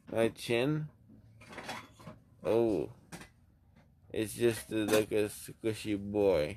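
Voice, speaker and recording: A man mumbles at a very slow pace, his fairly low pitch showing ordinary variation. Noticeable background noise sits behind him. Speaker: vlogger. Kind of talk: casual vlog chat. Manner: sleepy, numb-mouthed mumbling. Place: home room. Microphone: phone near.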